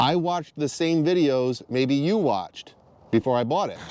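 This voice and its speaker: At a moderate pace, a man talks in a plain, everyday voice with a fairly high pitch and ordinary pitch variation. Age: 40s. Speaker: dirt bike vlogger. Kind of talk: product review monologue. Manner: casual, blunt.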